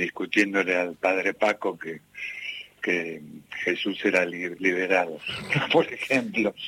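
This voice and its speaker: A man's fairly slow, fairly even speech in a dry, close sound with no echo, with noticeable background noise. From Argentina, Buenos Aires (Ramos Mejía, La Matanza). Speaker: singer-songwriter. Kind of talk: radio interview.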